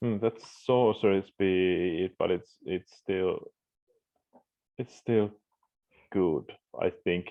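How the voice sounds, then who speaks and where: Soft-spoken and very slow, a man talks with a fairly low pitch and fairly even intonation, leaving long, frequent pauses. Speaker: gaming youtuber. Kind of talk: casual gameplay commentary. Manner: halting.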